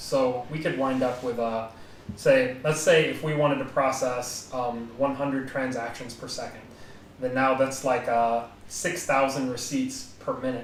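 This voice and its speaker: In an American accent, a man at a medium pitch talks at a fairly slow pace with fairly even intonation, amid noticeable background noise and audible room echo. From United States. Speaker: podcast co-host, blockchain developer. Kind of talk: technical explanation in a podcast. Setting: live-streamed podcast.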